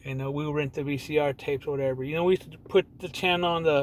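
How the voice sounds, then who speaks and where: A man's plain, everyday voice in an American accent, fairly high in pitch, at a fairly quick pace with ordinary pitch variation. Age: 40s. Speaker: gaming vlogger. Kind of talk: casual monologue. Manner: rambling with restarts.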